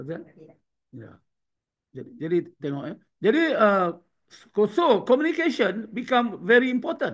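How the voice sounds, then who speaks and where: His pitch is high and swings very widely. The man's loudness varies a lot, with long, frequent pauses. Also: fairly slow pace. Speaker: trainer. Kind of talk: online training session. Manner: slow.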